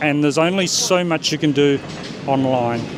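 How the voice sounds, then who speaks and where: Here a man speaks with an Australian accent at a moderate pace. There is noticeable background noise. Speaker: startup founder. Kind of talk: interview. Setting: in-person at a nomad festival.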